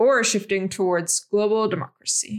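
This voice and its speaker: Talking at a fairly quick pace, a woman has a plain, everyday voice at medium pitch with ordinary variation. The recording is very clean, the background silent. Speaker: podcast host. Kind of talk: interview.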